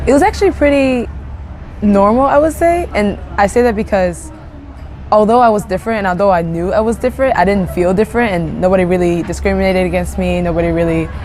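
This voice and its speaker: Someone with a Japanese accent talks at a very fast pace, with audible room echo and noticeable background noise. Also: woman. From Japan (Ibaraki). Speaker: interviewee. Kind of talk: interview. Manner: hesitant, many fillers.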